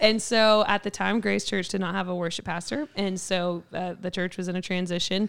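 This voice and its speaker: In a Kentucky accent, a woman talks with fairly even intonation in a very clean recording against a silent background. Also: medium pitch for a woman, moderate pace. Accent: Southern US (Kentucky). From Kentucky, Mayfield. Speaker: church worship pastor. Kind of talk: casual interview chat. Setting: studio.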